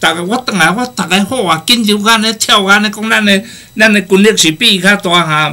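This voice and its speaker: This man has a high voice and an animated tone, with ordinary pitch variation. He talks at a fairly quick pace in a raised, projected voice. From Taiwan. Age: 60s. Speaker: guest speaker, professor abroad; guest, professor abroad. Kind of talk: casual talk show conversation, storytelling. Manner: animated, humorous, rambling. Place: studio.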